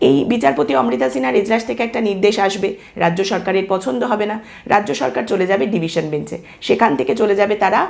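A woman's voice at medium pitch with very wide pitch swings. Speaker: political commentary youtuber. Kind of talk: monologue commentary.

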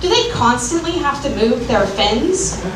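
A woman speaks at a fairly slow pace with big pitch swings, and background noise is clearly audible.

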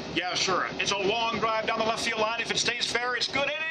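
Loud background noise runs under this man's moderately paced speech. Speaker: former limo driver, announcer-voiced man. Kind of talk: sports play-by-play announcer sample. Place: bus. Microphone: phone near.

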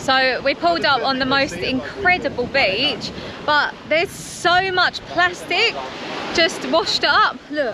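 With very wide pitch swings and a high pitch, a woman speaks at a very slow pace in a dry sound with no echo, over noticeable background noise. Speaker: travel vlogger. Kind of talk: casual vlog chat. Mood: sad, concerned about plastic. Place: beach. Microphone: phone near.

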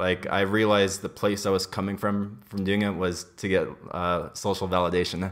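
With an American accent, a man speaks in a monotone, flat delivery at a fairly low pitch, against a quiet background. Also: moderate pace. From US, Los Angeles. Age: 20s. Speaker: podcast guest. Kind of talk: casual chat. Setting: kitchen. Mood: candid, relaxed. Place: home room.

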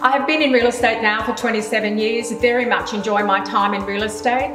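Over clear music in the background, a woman talks at a fairly high pitch with ordinary pitch variation. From Australia, Queensland. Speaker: real estate sales specialist and auctioneer. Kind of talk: promotional interview answer to camera. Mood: warm, pleased. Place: kitchen.

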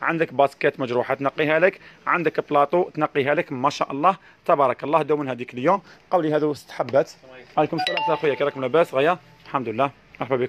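Against light background noise, a man talks at a fairly quick pace with ordinary pitch variation. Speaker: shop seller. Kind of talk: live product presentation. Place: shop. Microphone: phone near.

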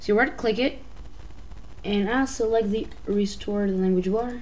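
With audible room echo, a woman of fairly high pitch talks at a moderate pace with ordinary pitch variation. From Albania. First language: Albanian. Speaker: YouTube tutorial maker. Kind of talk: tutorial. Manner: halting.

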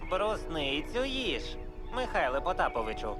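Over loud music in the background, a cartoonish character voice speaks at a moderate pace.

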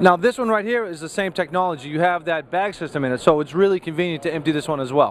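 A man talks at a fast pace with few pauses, a fairly high pitch, a fairly bright tone and ordinary pitch variation.

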